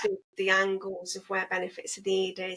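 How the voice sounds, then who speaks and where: A woman speaks at a moderate pace with an English accent, her pitch sitting in the medium range. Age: 40s. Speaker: single mothers' advocate and entrepreneur. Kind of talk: podcast interview.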